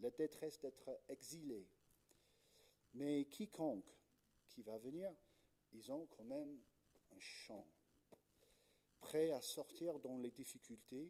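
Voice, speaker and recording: Very slow and marked by long, frequent pauses, a man speaks with a slight British accent in a dark, mellow tone with ordinary pitch variation. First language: English (speaking French). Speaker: Anglican pastor. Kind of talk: sermon. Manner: hesitant, many fillers.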